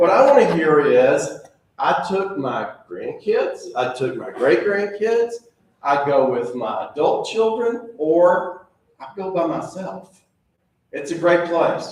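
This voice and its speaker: A man speaking very slowly, with audible room echo. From Tennessee. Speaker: zoo director. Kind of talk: presentation. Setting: club meeting audience. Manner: animated.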